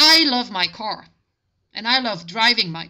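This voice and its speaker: A woman's fairly high voice with a German accent, moderate pace and lively intonation. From Germany. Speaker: language tutor. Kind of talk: tutorial.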